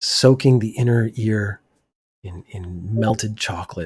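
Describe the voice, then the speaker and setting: A man whispers, somewhat breathy. The recording is very clean, with a silent background. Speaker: podcast host. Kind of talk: casual monologue. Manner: near whispering.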